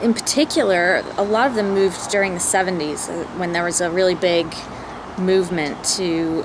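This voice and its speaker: A woman with an American accent, fairly low-pitched, at a moderate pace with fairly even intonation, over noticeable background noise. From southeastern West Virginia. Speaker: vlogger. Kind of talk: personal vlog monologue.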